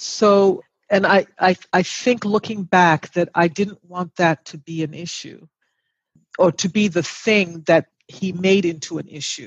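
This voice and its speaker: With a plain, everyday voice, a woman speaks fairly slowly at a medium pitch, her loudness swinging widely in a dry, close recording with no echo. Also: fairly even intonation. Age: 60s. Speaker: mother and grandmother guest. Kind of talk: casual interview chat.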